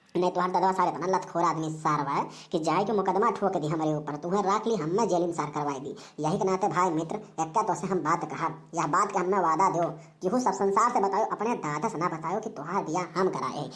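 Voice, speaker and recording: A woman uses a cartoonish character voice at a medium pitch. She talks at a very fast pace with ordinary pitch variation. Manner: folksy, preachy, long-winded.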